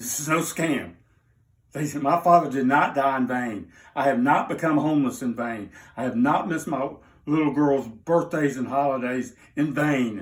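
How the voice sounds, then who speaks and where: A man speaks with a Southern US accent. He leaves long, frequent pauses. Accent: Southern US (Georgia). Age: 60s. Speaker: interviewee telling personal story. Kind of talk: unscripted personal appeal. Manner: emotional, agitated.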